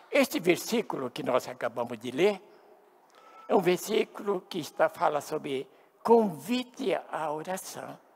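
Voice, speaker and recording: Noticeable background noise sits behind a man speaking at a high pitch and fairly slow pace. His pitch swings very widely, and his loudness swings a lot. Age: 70s. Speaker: pastor. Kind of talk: sermon.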